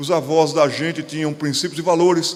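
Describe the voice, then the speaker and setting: Noticeable noise sits behind this man's voice. He speaks with a Pernambuco accent at a moderate pace. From Pernambuco, Brazil. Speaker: pastor. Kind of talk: lecture. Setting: stage with audience.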